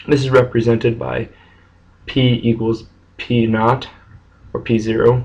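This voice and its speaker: A man speaks quietly at a medium pitch, his voice somewhat breathy. His delivery is fairly slow and flat, in a monotone. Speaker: math teacher. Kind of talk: math lesson screencast narration. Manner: monotone, quiet.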